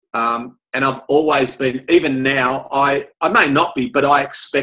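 In an Australian accent, a man speaks with a bright, sharp tone and monotone, flat intonation against a quiet background. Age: 50s. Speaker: motivational speaker. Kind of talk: casual chat. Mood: relaxed, candid. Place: office. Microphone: webcam.

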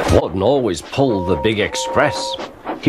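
Lively intonation marks this voice. It is an unforced reading voice.

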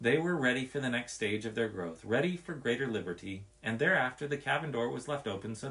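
A text read out in a natural voice.

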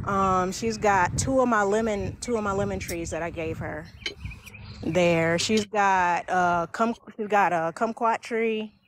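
A woman speaking at a fairly slow pace, her pitch medium. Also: ordinary pitch variation.

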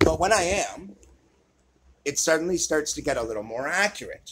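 The speaker is male. Noticeable background noise runs through the clip. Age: 40s. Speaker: archery and fitness video creator; fitness video creator. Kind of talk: tutorial. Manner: casual.

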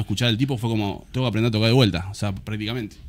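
A man with a Rioplatense accent. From Argentina. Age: 30s. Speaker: musician and music teacher; guest. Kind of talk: casual chat; interview answer. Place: studio. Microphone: studio mic.

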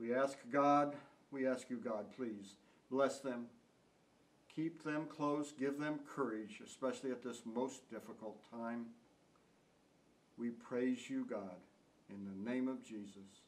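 A man talks at a very slow pace, with long, frequent pauses between his words. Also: ordinary pitch variation. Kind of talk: memorial tribute and prayer. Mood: solemn, heartfelt. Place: home room. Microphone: camera far.

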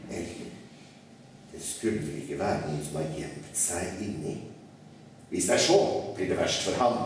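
Heard through strong room echo, a man speaks at a moderate pace. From Norway. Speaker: writer. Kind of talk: live reading of a children's classic. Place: hall.

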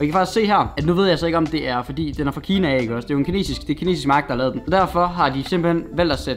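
This man talks at a very fast pace in a high pitch. Light background noise sits behind him. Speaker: vlogger. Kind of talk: casual unboxing vlog chat. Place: home room. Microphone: camera far.

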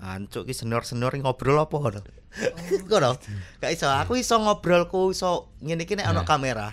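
A man with a strong Javanese accent talks at a fairly quick pace in an animated tone, his fairly high voice swinging very widely in pitch. Light background noise can be heard. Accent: thick Javanese (medok). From Java, Indonesia. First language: Javanese (speaking Indonesian). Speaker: stand-up comedian. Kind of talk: casual chat. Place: studio. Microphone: studio mic.

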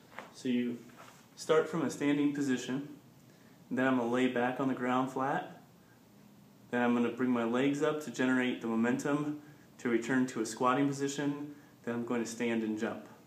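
At a moderate pace, a man talks in a flat monotone with long, frequent pauses, and the room echo is audible. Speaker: fitness coach. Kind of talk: tutorial.

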